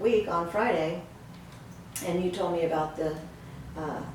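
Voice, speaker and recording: A woman talks in a room with audible echo, while noticeable background noise is present. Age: 70s. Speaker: patient giving a testimonial. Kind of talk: testimony. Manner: halting.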